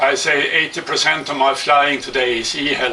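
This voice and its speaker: Over noticeable background noise, a man with a Swedish accent speaks at a fairly slow pace in a fairly high voice. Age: 60s. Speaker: hang glider kit builder. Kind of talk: product presentation. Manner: halting.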